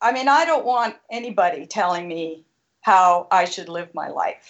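A woman with a plain, everyday voice, lively intonation and a fairly slow pace. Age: 60s. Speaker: caller. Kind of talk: heated debate. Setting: phone call.

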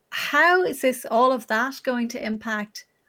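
This woman speaks in an Irish accent with ordinary pitch variation. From Ireland. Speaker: journalist and live stream interviewer. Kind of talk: interview on her live stream. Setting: live stream with remote guest.

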